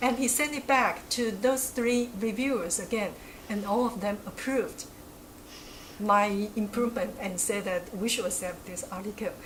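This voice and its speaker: Speaking in a Chinese accent, a woman uses a fairly high pitch, a moderate pace and ordinary pitch variation over noticeable background noise. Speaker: academic researcher. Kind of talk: interview.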